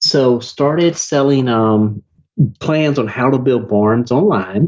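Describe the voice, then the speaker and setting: A man with a Southern US accent speaks very slowly at a medium pitch, his loudness very even throughout. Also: ordinary pitch variation. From US South. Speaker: online marketer, business owner. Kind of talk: podcast interview. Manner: animated.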